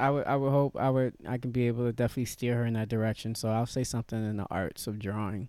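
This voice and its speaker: A man talks with a New York accent. His pace is fairly quick. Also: very clean recording, silent background. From New York (Yonkers). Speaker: comedian. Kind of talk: casual chat.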